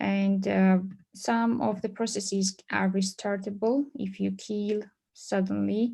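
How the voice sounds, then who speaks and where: The tone is dark and mellow, somewhat breathy. A woman speaks at a very slow pace. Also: fairly even intonation. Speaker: conference presenter on databases; conference presenter. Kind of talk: technical presentation. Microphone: video call.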